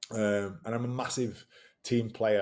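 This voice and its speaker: A man with a Yorkshire accent, fairly low in pitch, dark and mellow in tone, monotone and flat in intonation, at a moderate pace. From northern England, West Yorkshire (Batley). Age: 30s. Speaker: rugby league player and fitness coach. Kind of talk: casual interview. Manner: halting, many false starts.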